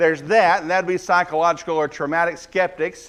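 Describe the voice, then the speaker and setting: Speaking with a Southern US accent, a man uses a high pitch and fairly even intonation. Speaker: guest preacher. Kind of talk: sermon. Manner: fast.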